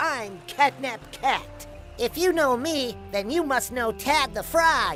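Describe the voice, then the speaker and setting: Clear music plays in the background. Over it comes a put-on character voice at a fairly slow pace. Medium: read story. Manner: excited.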